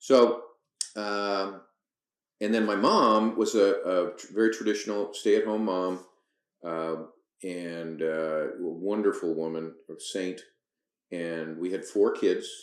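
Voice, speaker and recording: A man speaks with long, frequent pauses and big swings in loudness in a room with audible echo. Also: fairly slow pace. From Canada, Toronto area. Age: 60s. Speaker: firearms academy owner, retired business executive. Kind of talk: podcast interview. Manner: hesitant, many fillers.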